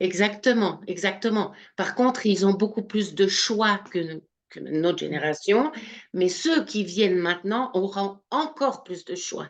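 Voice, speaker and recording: At a very slow pace, a woman with a slight Swiss French accent speaks at a medium pitch with lively intonation and big swings in loudness. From Switzerland, Swiss Jura. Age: 60s. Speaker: spiritual medium. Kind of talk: interview. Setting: live video stream.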